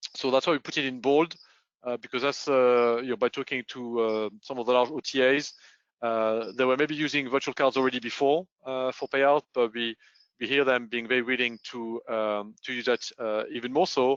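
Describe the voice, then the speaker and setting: Speaking in a French accent, a man keeps a moderate pace. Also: medium pitch for a man, fairly even intonation. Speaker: payments consultant. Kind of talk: webinar presentation. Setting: online webinar. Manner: hesitant, many fillers.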